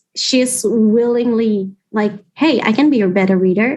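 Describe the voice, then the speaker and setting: Speaking fairly slowly, a woman has a non-native accent. Her pitch is fairly high, with ordinary pitch variation. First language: not English. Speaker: writer, youth advisory board member. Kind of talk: casual interview chat. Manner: halting, with fillers.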